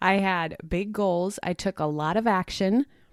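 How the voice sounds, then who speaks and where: A woman speaks in an ordinary speaking voice at a medium pitch and a fairly slow pace, with lively intonation, in a very clean recording with a silent background and a dry, close sound with no echo. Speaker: podcast host. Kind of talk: reflective solo podcast monologue.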